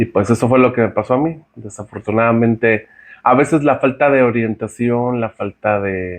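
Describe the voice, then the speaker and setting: A man with a central Mexican accent talks at a moderate pace, his pitch medium and its variation ordinary. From Mexico, San Luis Potosí. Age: 40s. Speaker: podcast guest sharing his testimony. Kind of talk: testimony. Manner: halting, many fillers and repeats.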